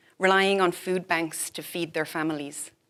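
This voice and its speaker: A woman with an Irish accent, at a moderate pace. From Ireland. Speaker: physician and health policy fellow. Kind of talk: prepared talk. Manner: formal.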